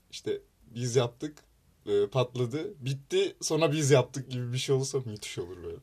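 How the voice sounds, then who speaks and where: A somewhat breathy man with medium pitch speaks at a moderate pace. His loudness swings widely while his pitch varies in an ordinary way. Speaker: university student club podcast host. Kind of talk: casual chat.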